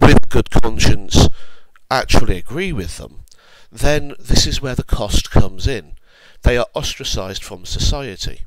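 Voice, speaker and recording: Over noticeable background noise, a man with a British accent speaks at a fairly slow pace, his loudness swinging widely. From UK. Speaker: online commentator. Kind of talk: opinion monologue. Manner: measured, deliberate.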